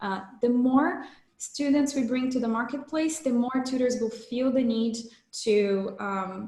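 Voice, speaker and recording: Speaking with a Portuguese accent and ordinary pitch variation, a woman is heard with audible room echo. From Brazil. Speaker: startup founder. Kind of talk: sales pitch.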